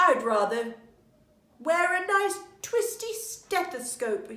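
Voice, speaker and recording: A put-on character voice moves very slowly through very wide pitch swings, with a slight echo. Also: woman, extremely high pitch for a woman. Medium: read story.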